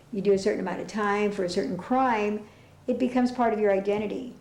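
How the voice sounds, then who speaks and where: Noticeable background noise and audible room echo around speech at a fairly quick pace. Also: woman. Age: 60s. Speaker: former prisoner. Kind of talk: testimony.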